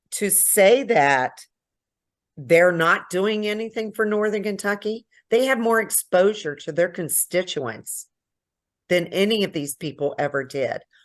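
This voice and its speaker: With lively intonation and an ordinary speaking voice, a woman of medium pitch talks at a fairly slow pace against a quiet background. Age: 60s. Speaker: local party member. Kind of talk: political discussion.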